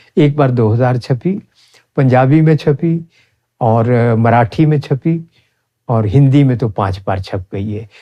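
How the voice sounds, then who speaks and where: His voice has a dark, mellow tone, medium pitch for a man and ordinary pitch variation. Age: 70s. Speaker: Ayurvedic practitioner. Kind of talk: interview.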